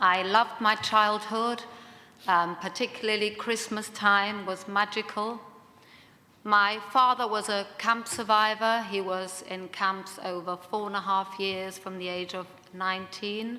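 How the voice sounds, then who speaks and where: A woman with a slight German accent speaks at a medium pitch and fairly slow pace in a monotone, flat way. Her loudness swings widely, and room echo is audible. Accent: slight German twang. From Germany, Munich. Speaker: second generation Holocaust speaker. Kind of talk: panel discussion talk. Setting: conference room with audience.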